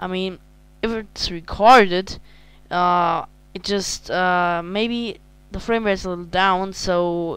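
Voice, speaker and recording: A woman with a German accent speaks at a medium pitch against a quiet background. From Germany. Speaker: video game reviewer. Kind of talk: casual game review. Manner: halting.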